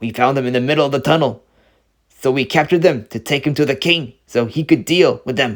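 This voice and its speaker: On a very clean recording with a silent background, a man performs a put-on character voice. He speaks fairly quickly at a medium pitch. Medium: read story. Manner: serious, annoyed, commanding.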